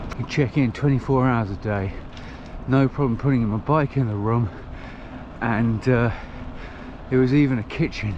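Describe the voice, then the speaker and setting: A man with an English accent speaks at a medium pitch with ordinary pitch variation, leaving long, frequent pauses. Background noise is noticeable. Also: moderate pace. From England. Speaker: touring cyclist vlogger. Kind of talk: travel vlog narration.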